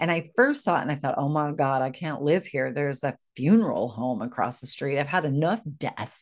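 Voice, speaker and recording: Animated in tone, a woman with a very deep, low pitch speaks at a moderate pace over a quiet background. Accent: American. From United States. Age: 50s. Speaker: podcast host and grief coach. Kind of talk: personal storytelling monologue.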